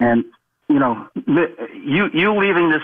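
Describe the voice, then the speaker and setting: A man speaks with a New York accent. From New York City, the Bronx. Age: 60s. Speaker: caller. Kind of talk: call-in radio chat. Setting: phone call.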